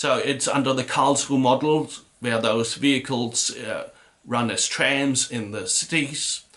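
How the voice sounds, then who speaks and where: A man with a German accent speaks at a fairly slow pace. His pitch is medium and his intonation fairly even. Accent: German accent, confuses V and W. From Germany. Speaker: vicar. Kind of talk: casual video talk. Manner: hesitant, many fillers.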